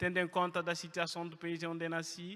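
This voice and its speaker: Speaking at a moderate pace, a man projects a raised voice with a French accent. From Guinea (Conakry). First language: French (speaking Portuguese). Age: 20s. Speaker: refugee sharing his story. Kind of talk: testimony. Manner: halting, many hesitations.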